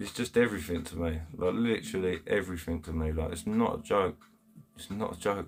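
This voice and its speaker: Speaking with a Kent accent, a man has a very deep, low pitch. He talks at a fairly quick pace with big swings in loudness. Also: ordinary pitch variation. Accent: Chatham, Kent. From Kent, England (Chatham). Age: 30s. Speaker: angling livestreamer. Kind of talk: live stream chat with viewers. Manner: animated; halting.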